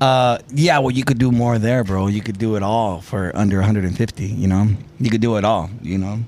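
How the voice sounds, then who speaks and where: A man with a normal speaking voice and an American accent, fairly low in pitch, with ordinary pitch variation and a moderate pace. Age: 40s. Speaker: viral content creator. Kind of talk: casual chat.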